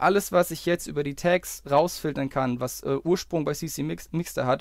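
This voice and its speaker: A man speaks in an ordinary speaking voice, his fairly high pitch rising and falling with ordinary variation as he keeps a moderate pace. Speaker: YouTuber. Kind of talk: angry rant, screen-recorded video commentary. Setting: screen-recorded video, voiceover. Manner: fuming and sarcastic, swearing, clipped and sharp; sarcastically jokey with bursts of swearing and impatient muttering.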